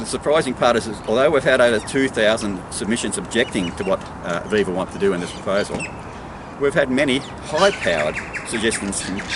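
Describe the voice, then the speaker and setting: A man with an Australian accent and a medium pitch talks at a fairly quick pace with very wide pitch swings, over noticeable background noise. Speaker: local political candidate. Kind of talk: political monologue to camera. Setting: outdoors. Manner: fast; animated.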